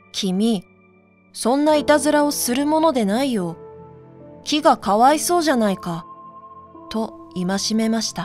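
A woman's fairly high voice with very wide pitch swings, at a fairly slow pace with long, frequent pauses, over music in the background. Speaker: narrator. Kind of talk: sleep story reading.

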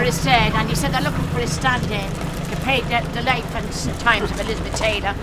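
A woman speaks at a very fast pace. Loud background noise runs underneath. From Dublin. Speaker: market stall trader. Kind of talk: banter with customers at stall. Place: market.

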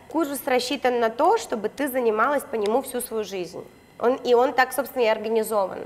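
A woman speaks at a moderate pace with high pitch and ordinary pitch variation. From Khabarovsk, Russia; Russia. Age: 20s. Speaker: reality show participant, blogger; blogger. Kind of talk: casual interview chat. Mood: relaxed, candid storytelling. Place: gym. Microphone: lapel.

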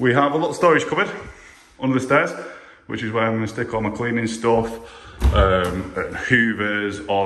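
This voice belongs to a man. The room adds an audible echo around it. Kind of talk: casual vlog chat. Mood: happy, upbeat. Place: home room. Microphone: phone near.

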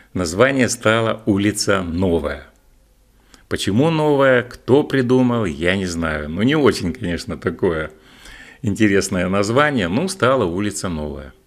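The pitch swings very widely at a fairly slow pace. The background is quiet. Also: man, fairly low pitch for a man. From Russia, Barnaul (Altai); Russia. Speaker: video blogger. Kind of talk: reminiscing monologue. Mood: warm, nostalgic, smiling. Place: home room. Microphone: studio mic.

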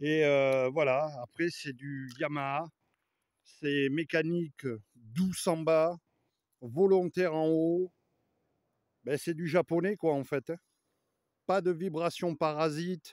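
Against a quiet background, a man speaks at a very slow pace with long, frequent pauses. His intonation is fairly even, and the sound is dry with no echo. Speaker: motorbike vlogger. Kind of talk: casual vlog chat. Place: forest. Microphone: phone near.

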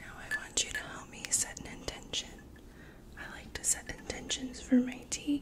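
A woman whispering, with big swings in loudness. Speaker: Reiki practitioner and ASMR creator. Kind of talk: ASMR sleep routine, guided relaxation. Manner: soft, soothing, slow. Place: home room.

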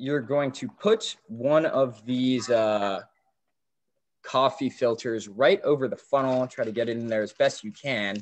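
A man with an American accent speaks at a fairly slow pace and medium pitch, with ordinary pitch variation. It is an ordinary speaking voice. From Maryland, US. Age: young. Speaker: student youth ambassador; webinar presenter. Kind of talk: tutorial. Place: home room. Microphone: video call.

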